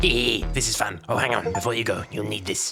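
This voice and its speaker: A put-on character voice at a fairly quick pace. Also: man, medium pitch for a man. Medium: solo performance. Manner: smooth, menacing.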